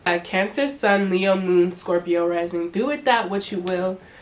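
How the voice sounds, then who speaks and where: There is an animated tone to this woman's speech, with noticeable background noise behind it. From US (Charlotte, North Carolina), Togolese parents, first years in Togo. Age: 20s. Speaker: YouTuber. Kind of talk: casual vlog chat.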